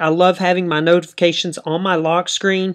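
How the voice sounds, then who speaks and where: Someone with a Dallas accent talks at a fairly quick pace. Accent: country accent, Dallas Texas. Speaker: tech YouTuber. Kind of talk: tutorial. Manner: hesitant, many fillers.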